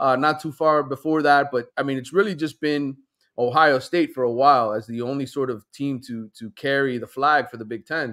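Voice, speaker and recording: A man's bright, sharp voice with fairly even intonation, moderate pace and a quiet background. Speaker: remote guest sports reporter. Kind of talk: interview answer. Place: home room. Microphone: headset.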